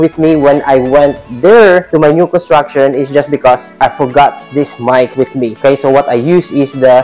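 Faint music plays in the background as a man speaks with hardly any pauses. His intonation is fairly even. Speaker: real estate agent vlogger. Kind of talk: casual vlog chat. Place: home room. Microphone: lapel.

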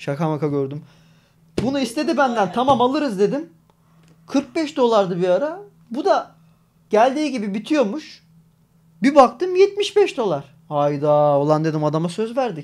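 A man with an extremely high pitch speaks at a fairly slow pace, making very wide pitch swings and long, frequent pauses. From Turkey. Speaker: gaming streamer. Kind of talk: casual live stream chat. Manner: talkative, frequent laughter. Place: home room. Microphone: studio mic.

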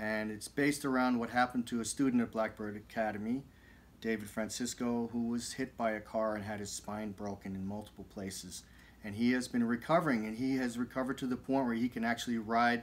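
His delivery runs at a fairly quick pace. The man keeps his intonation fairly even. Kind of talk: casual vlog chat. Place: studio. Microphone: studio mic.

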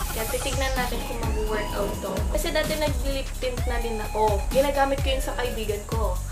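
Against clear music in the background, a woman speaks at a moderate pace with hardly any pauses. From Philippines. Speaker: nursing student and beauty youtuber. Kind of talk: casual talk to camera. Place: home room. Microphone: webcam.

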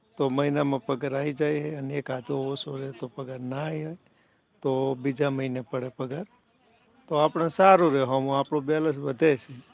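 Flat, monotone intonation with big swings in loudness. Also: man, fairly high pitch for a man. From north Gujarat, Sami taluka. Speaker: YouTube live streamer. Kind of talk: casual live stream chat. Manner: chatty, greeting viewers.

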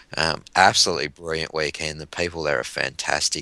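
Speaking at a fairly quick pace with an Australian accent, a man has a very deep, low voice with a bright, sharp tone and vocal fry. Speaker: sci-fi author. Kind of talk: casual podcast interview. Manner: halting, many fillers.

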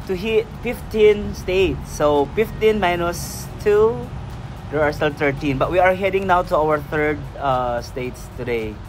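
A man talks at a fairly slow pace in a high voice. Music plays in the background. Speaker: travel vlogger. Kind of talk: casual vlog chat. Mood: cheerful, relaxed. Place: open country. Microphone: phone near.

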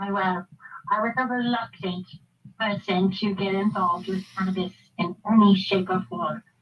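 At a fairly slow pace, a woman with a plain, everyday voice speaks at a medium pitch with fairly even intonation. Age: 50s. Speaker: nurse and cannabis advocate. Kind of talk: testimony.

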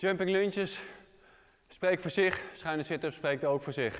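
Over a quiet background, a man talks in a high-pitched voice. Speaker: fitness trainer. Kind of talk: tutorial. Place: gym.

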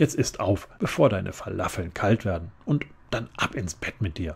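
Somewhat breathy and very deep, a man's voice moves at a fairly slow pace in a calm, relaxed tone with ordinary pitch variation. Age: middle-aged. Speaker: audiobook narrator. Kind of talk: children's book reading. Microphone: studio mic.

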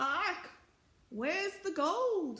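This put-on character voice is shrill and pitched extremely high. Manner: screeching.

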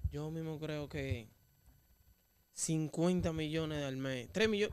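This man speaks very slowly with long, frequent pauses. His voice is fairly high and carries a Dominican accent. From Dominican Republic. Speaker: interviewer. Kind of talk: interview. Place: studio. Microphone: studio mic.

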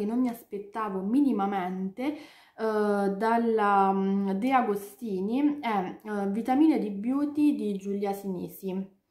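Her pitch sits in the medium range with ordinary variation. The background is quiet, and the woman's voice carries audible room echo. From Italy. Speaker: book youtuber; book vlogger. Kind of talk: casual chat. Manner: halting. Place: home room. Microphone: webcam.

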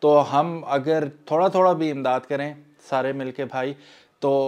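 Over a quiet background, a man with a fairly high voice speaks fairly slowly with fairly even intonation. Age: 40s. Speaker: YouTuber. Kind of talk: appeal for charity donations. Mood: earnest, persuasive.

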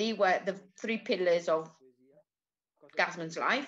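A woman with an Italian accent, fairly slow pace and ordinary pitch variation. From Italy. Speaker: cultural institute host presenting a film event. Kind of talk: event presentation and commentary. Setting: online video call event. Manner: halting. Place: home room. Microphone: webcam.

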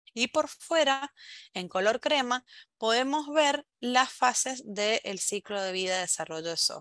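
A woman with a bright, sharp tone and a fairly high pitch speaks at a fairly slow pace with lively intonation. The sound is dry with no echo, and the background is quiet. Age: 30s. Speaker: software quality engineer; conference speaker. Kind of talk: conference talk. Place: home room. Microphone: headset.

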